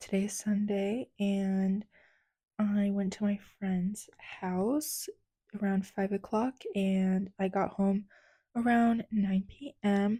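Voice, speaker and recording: A woman with an American accent, somewhat breathy, dark and mellow in tone, her intonation fairly even and her pace very slow, on a very clean recording with a silent background. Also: medium pitch for a woman. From United States. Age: 20s. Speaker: lifestyle vlogger. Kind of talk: casual vlog narration. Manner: soft-spoken.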